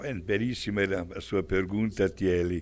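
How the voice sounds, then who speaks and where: A man with an Italian accent talks at a very slow pace and a fairly low pitch. His pitch variation is ordinary, and the recording is very clean with a silent background. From Italy, Milan. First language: Italian (speaking Portuguese). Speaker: priest. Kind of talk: religious talk show discussion.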